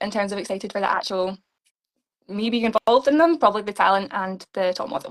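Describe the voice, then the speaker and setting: A woman with a Scottish accent at a very fast pace, medium pitch and ordinary pitch variation, in a dry, close sound with no echo. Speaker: beauty pageant contestant. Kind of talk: interview. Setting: live stream interview.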